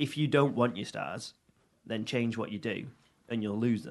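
This man speaks at a moderate pace. His intonation is lively. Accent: Mancunian. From Manchester, England (Audenshaw). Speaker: chef and restaurateur. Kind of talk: casual chat.

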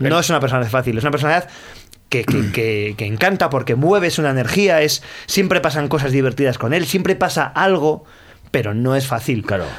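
A man speaks fairly quickly in a fairly high pitch, with lively intonation and very even loudness. It is a normal speaking voice. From Asturias (Gijón), northern Spain. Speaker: musician and author. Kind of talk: interview chat.

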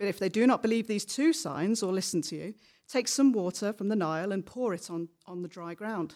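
On a very clean recording with a silent background, a woman with a dark, mellow tone and medium pitch speaks at a fairly quick pace, her intonation lively and her loudness swinging a lot. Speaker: scripture reader. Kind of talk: reading aloud. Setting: church.

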